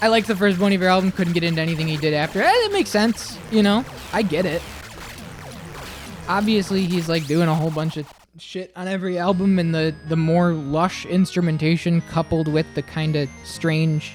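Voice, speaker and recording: Music can be heard in the background. The talking is fairly quick. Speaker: livestreamer. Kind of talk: casual chat. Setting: live stream.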